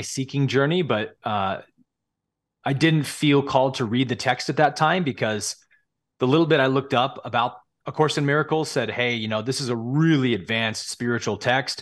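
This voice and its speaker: A man with a West Coast accent, medium pitch and a fairly quick pace. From California. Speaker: spiritual teacher. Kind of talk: casual interview.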